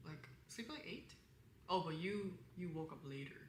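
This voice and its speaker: A woman with a fairly low, somewhat breathy voice speaks with ordinary pitch variation amid audible room echo. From Korean background, bilingual. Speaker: content creator. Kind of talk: casual live-stream advice chat. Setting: live stream. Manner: casual, many fillers; colder in English.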